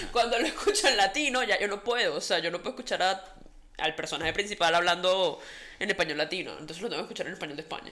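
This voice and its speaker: Very fast woman's speech at a medium pitch, with lively intonation. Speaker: podcast co-host. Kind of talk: casual chat.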